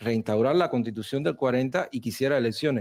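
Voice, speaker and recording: Speaking in a Cuban accent, a man uses a medium pitch and a dark, mellow tone with ordinary pitch variation. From Cuba, Cienfuegos. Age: 30s. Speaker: Cuban emigrant debating on TV. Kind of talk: televised debate. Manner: animated.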